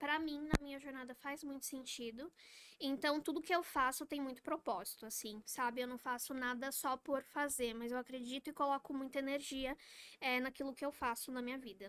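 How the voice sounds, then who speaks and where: A woman's high voice, moderate in pace, with fairly even intonation. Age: 20s. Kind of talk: podcast interview. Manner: talkative.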